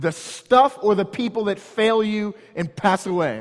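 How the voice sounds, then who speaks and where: A man with a high pitch, lively intonation and an American accent, over noticeable background noise. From St. Louis area, Missouri (North County). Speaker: pastor. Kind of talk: sermon.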